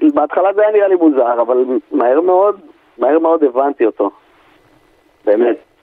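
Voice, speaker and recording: A man with a fairly high pitch speaks in very wide pitch swings at very even loudness. He leaves long, frequent pauses. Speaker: army friend of the guest. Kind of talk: interview.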